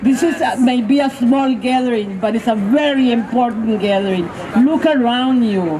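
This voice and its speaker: A woman's high-pitched voice at a moderate pace, very even in loudness with ordinary pitch variation, amid audible room echo and noticeable background noise. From Mexico. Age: 70s. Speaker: rally speaker, activist. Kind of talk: protest speech. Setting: outdoor street rally. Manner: impassioned.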